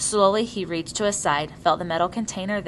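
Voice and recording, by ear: Natural-voiced reading aloud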